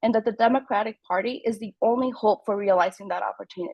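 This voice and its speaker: Recorded dry and close with no echo, a woman with a fairly high pitch talks in a Spanish accent. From Mexico until nine, then Germantown, Maryland. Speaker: political candidate. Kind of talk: campaign speech.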